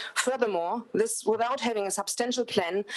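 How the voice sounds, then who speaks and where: A woman talks at a fairly quick pace. Noticeable background noise can be heard behind her. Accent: German. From Germany. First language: German. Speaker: public submitter. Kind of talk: public submission.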